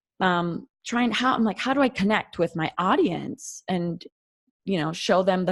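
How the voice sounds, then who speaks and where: The pace is fairly slow. The intonation is lively. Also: woman. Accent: North Dakota. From North Dakota, US. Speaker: occupational therapist and podcaster. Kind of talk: podcast interview, casual chat. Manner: many fillers like 'you know' and 'um'.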